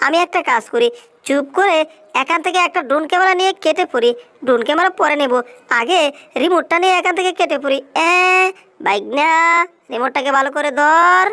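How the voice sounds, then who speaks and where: A put-on character voice pitched high delivers lines at a moderate pace. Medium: fan dub.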